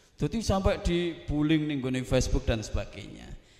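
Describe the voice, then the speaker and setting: Pitch swings very widely at a moderate pace. Audible room echo surrounds the voice. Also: man. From South Sumatra (Javanese transmigrant area). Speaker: Islamic preacher. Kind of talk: panel talk. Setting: hall with audience. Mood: cheerful, joking. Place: hall. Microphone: handheld.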